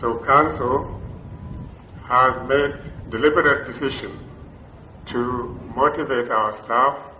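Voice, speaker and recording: Medium-pitched male voice at a very slow pace, with fairly even intonation, light background noise and audible room echo. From Western Kenya. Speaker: university council chairman. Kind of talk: ceremonial speech. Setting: graduation ceremony with audience. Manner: formal. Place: hall. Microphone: podium.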